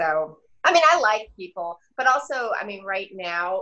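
A woman's bright, sharp tone at a very slow pace, with ordinary pitch variation. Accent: American. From Denver, Colorado. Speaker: stand-up comedian. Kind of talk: casual chat.

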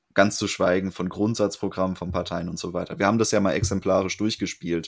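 The man's voice sits very deep and low in pitch. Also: very clean recording, silent background. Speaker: podcast host. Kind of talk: casual discussion.

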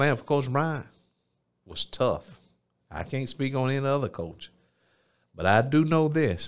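On a very clean recording with a silent background, a man with a fairly high pitch speaks at a fairly slow pace. His intonation is lively, with long, frequent pauses. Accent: Alabama. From US South, Phenix City, Alabama. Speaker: mayor and former football player. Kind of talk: interview testimony. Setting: studio.

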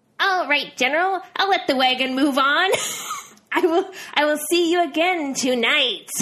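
A woman's put-on, robotic character voice, high-pitched and at a fairly slow pace

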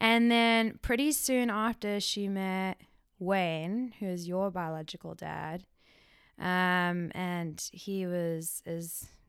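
Medium-pitched woman's voice on a very clean recording with a silent background. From South Africa. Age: 30s. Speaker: hairstylist. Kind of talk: casual chat.

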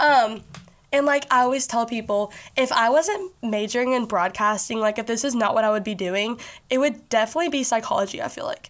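A woman with an American accent speaks fairly quickly at a high pitch, her pitch varying in an ordinary way. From Kentucky, Bowling Green. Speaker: podcast host. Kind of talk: casual monologue. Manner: animated.

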